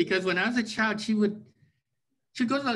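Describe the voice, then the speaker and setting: With a Canadian accent, a man is talking. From Vancouver, Canada; British Columbia, Canada. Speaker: writer and historian; interviewee. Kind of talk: interview. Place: home room. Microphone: video call.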